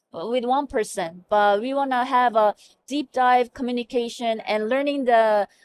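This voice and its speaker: A woman speaks at a high pitch in a Korean accent. The sound is dry and close, with no echo. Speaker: hospital medical information officer. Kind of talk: interview. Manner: halting.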